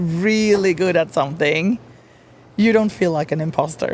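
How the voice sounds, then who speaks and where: Spoken at a moderate pace with lively intonation and a Swedish accent. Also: woman. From Sweden. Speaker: brand strategist. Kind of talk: podcast interview.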